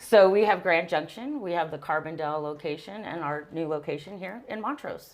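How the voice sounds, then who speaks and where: A woman with a Texan accent talks at a fairly quick pace and fairly low pitch. Her pitch varies in an ordinary way, and her loudness swings widely. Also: hardly any pauses. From Texas. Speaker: business manager. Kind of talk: interview.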